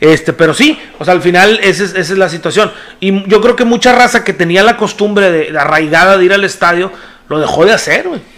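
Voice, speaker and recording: Over noticeable background noise, a man speaks at a high pitch in an animated tone. His pace is fairly quick, with ordinary pitch variation. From Mexico, Nuevo León (Monterrey area). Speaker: podcast co-host. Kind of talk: casual chat.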